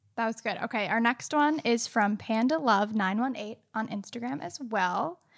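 A woman's fairly high voice, a plain, everyday voice, at a moderate pace with ordinary pitch variation and hardly any pauses, in a very clean recording with a silent background. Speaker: podcast co-host, amateur baker. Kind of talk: live-streamed podcast chat. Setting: live video stream.

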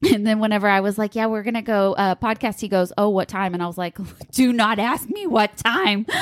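A woman speaks at a fairly quick pace and a fairly high pitch, with fairly even intonation, in an unremarkable speaking voice. The sound is dry and close, with no echo. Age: 30s. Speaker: podcast co-host and online boutique owner. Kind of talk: casual chat.

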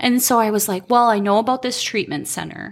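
The speaker uses an Upper Midwest accent at a fairly quick pace. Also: woman. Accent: Upper Midwest American. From Minnesota (Albany). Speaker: recovering addict sharing her story. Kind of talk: testimony. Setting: in her home basement.

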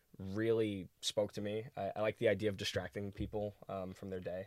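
A man with an American accent and an unremarkable speaking voice talks at a fairly quick pace in a fairly low pitch, on a very clean recording with a silent background. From New York City, Brooklyn. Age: 20s. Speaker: actor and singer. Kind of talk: casual chat.

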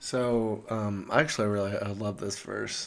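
A man of medium pitch speaks with monotone, flat intonation. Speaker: podcast host. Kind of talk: casual conversational podcast.

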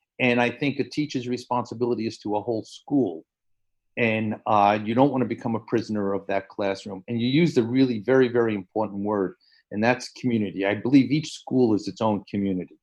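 Fairly quick in pace, a man speaks at a medium pitch with ordinary variation. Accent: New York. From New York City, the Bronx. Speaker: education professor. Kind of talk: casual interview. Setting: video call. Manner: animated.

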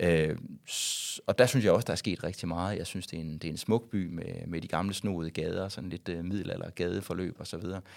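A man with a very deep, low voice speaks with fairly even intonation but big swings in loudness, in a very clean recording with a silent background. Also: fairly quick pace. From West Jutland, Denmark (Varde area). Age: 40s. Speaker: YouTuber and former radio host. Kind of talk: casual interview. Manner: halting, many fillers and repetitions.

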